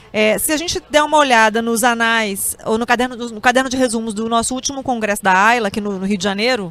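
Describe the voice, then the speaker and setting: With ordinary pitch variation and a fairly high pitch, a woman speaks quickly in a plain, everyday voice. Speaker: professor and interviewer. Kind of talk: interview.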